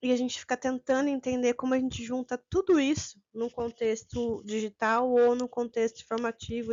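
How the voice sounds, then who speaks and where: A woman's high-pitched voice at a moderate pace, with fairly even intonation and hardly any pauses. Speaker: teacher trainer. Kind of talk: online course lecture. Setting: recorded video with sign interpreter.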